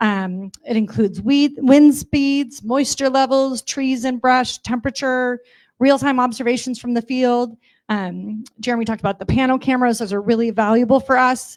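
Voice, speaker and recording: Loud and high-pitched, a woman speaks at a moderate pace with fairly even intonation on a very clean recording with a silent background. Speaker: utility company representative. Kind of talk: public briefing at community meeting. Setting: community meeting with audience, livestreamed.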